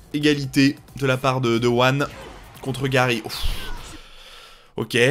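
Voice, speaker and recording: A man is speaking. Music plays in the background. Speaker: video game commentator. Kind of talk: live game commentary. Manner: fast, clipped, rapid-fire callouts of moves and mistakes; casual, encouraging.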